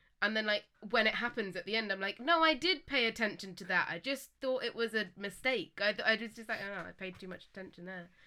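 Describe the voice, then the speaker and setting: A woman's fairly high, bright, sharp voice at a very fast pace with hardly any pauses, big swings in loudness and ordinary pitch variation, on a very clean recording with a silent background. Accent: English. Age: 20s. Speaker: guest on podcast, partner of co-host. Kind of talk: casual chat.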